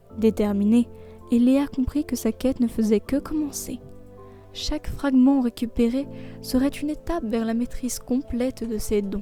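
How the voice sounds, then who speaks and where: A soft-spoken woman with a fairly high pitch talks at a very slow pace in a soothing tone. Her intonation is fairly even, with music in the background. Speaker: bedtime storyteller. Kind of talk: sleep story narration. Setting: human narration, no AI voice. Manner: soft, soothing.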